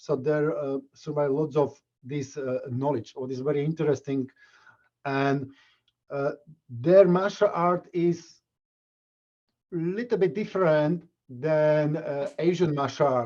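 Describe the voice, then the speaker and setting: In a Slovak accent, a man with a fairly high pitch and a dark, mellow tone speaks at a very slow pace, with long, frequent pauses and ordinary pitch variation. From Slovakia. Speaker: martial arts instructor. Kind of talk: interview. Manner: halting.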